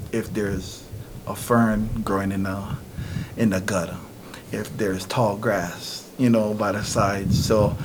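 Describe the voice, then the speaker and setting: Noticeable background noise sits behind the speaker. He is a man, talking fairly slowly. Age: 40s. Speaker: community member.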